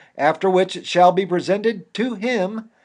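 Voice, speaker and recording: A high-pitched man with an American accent against a quiet background. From Indiana, USA. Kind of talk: reading of a founding legal document. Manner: forceful.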